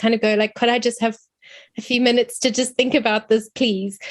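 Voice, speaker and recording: A woman speaks with a South African accent at a high pitch. Her pace is very fast and her intonation fairly even. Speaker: academic. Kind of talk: seminar question.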